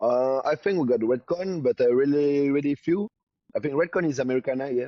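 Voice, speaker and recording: A man in a French accent, fairly high in pitch, fairly quick in pace, with very even loudness. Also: ordinary pitch variation. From New Caledonia. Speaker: bodybuilder and supplement entrepreneur. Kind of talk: casual interview. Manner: halting, many fillers.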